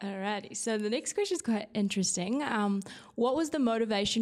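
Speaking at a fairly quick pace, a woman talks in a medium pitch with a New Zealand accent. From New Zealand, South Island. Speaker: youth rugby and marketing staff. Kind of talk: casual chat.

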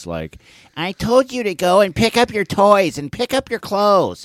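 A man's put-on character voice, high in pitch at a moderate pace, dry and close with no echo on a very clean recording with a silent background. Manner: scolding, nagging.

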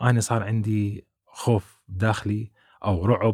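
A somewhat breathy, fairly low-pitched man's voice, recorded very cleanly against a silent background in a dry, close sound with no echo. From Iraq, Baghdad. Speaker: YouTuber, immigrant. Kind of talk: interview testimony.

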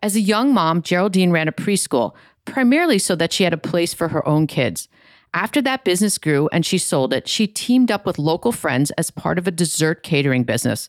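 A woman with a fairly low pitch speaks fairly quickly, her pitch swinging very widely while her loudness stays very even. The recording is very clean, with a silent background. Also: dry, close sound with no echo. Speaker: podcast host. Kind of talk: interview.

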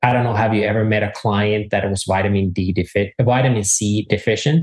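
Somewhat breathy, a man speaks at a fairly quick pace with fairly even intonation. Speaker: mushroom expert. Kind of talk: interview.

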